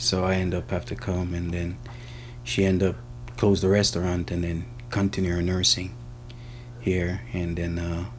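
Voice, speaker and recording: A man with a Jamaican accent speaks at a moderate pace and a very deep, low pitch, with ordinary pitch variation, long, frequent pauses, and audible room echo. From Jamaica, Kingston. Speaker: mechanic. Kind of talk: interview. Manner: casual.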